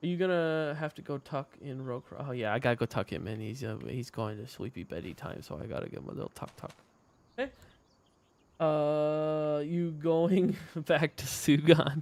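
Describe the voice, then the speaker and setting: A man speaks quietly at a moderate pace, his pitch fairly high with ordinary variation. His loudness swings widely. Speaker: gaming streamer and map maker. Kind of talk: live gameplay stream chat. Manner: getting quiet.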